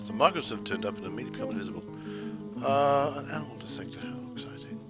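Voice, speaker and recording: A man at a very fast pace over music in the background. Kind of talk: casual let's play commentary. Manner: casual, hesitant, dry humour.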